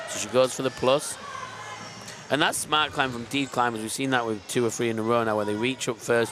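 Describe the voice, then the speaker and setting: Noticeable background noise sits behind a man talking fairly quickly at a medium pitch. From Queensland, Australia. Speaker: sport climbing commentator. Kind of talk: live commentary. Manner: animated, excitable.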